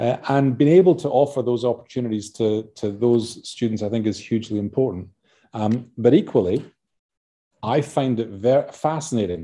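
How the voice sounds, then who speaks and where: A man speaks at a medium pitch with a dark, mellow tone. His pace is moderate and his pitch varies in an ordinary way. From Scotland. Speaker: university vice-chancellor. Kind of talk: interview. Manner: hesitant, filler-heavy.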